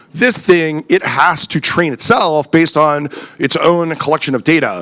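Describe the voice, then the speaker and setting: Noticeable background noise sits under a voice whose pitch varies in an ordinary way. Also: man, fairly high pitch for a man. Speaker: conference speaker. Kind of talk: conference talk. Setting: stage with audience. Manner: fast; halting, many fillers.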